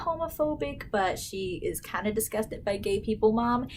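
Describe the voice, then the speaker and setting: Soft-spoken, a woman talks at a medium pitch. Her pitch swings very widely. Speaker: YouTuber. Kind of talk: casual vlog storytelling. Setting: at home. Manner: animated.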